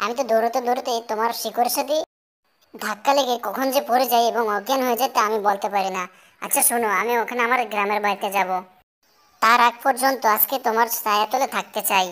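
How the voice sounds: The voice is cartoonish, a character with a female sound. Her pitch is fairly high and her pace moderate.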